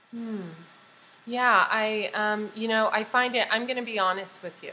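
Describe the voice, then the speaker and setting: An unremarkable speaking voice belongs to this woman, who talks at a fairly slow pace with fairly even intonation. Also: fairly high pitch for a woman. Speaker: interviewer, talk show host. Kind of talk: interview question, casual talk to camera.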